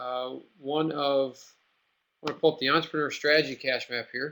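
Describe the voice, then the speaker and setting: Ordinary pitch variation runs through a man's fairly high-pitched voice. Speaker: webinar host and business coach. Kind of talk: live webinar tutorial. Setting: online webinar room. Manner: fast; many fillers, casual.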